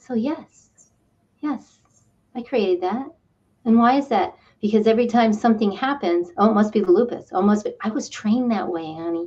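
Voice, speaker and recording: A woman speaks with a fairly high, somewhat breathy voice and a dark, mellow tone. Her intonation is lively, broken by long, frequent pauses. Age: 60s. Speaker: spiritual counselor and energy healer. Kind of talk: interview answering viewer questions. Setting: studio. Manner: animated.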